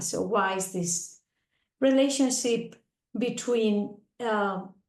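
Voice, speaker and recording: Audible room echo surrounds the recording. A woman talks with ordinary pitch variation. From Spain. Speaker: agricultural researcher. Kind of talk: presentation.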